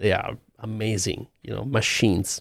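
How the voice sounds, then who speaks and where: A man with an Italian accent speaks at a fairly low pitch. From Italy. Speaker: music producer and sound engineer. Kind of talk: interview. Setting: video call from studio. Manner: halting.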